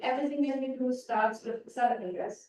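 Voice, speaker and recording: The woman's voice sits high in pitch. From Germany. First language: German. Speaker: physicist. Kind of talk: public lecture. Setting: stage with audience.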